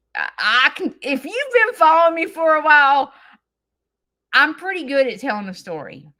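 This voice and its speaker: Raising and projecting her voice, a woman with a Southern US accent speaks at a high pitch with very wide pitch swings and a bright, sharp, animated tone, on a very clean recording with a silent background. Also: moderate pace. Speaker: farm lifestyle content creator. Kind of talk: live stream chat. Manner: theatrical.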